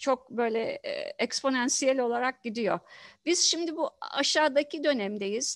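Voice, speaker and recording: A woman's high voice with lively intonation at a fairly slow pace, dry with no echo, against a quiet background. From Turkey, Izmit; Turkey. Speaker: professor of environmental engineering; professor, interviewee. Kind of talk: interview. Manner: halting, many fillers. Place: home room. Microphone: headset.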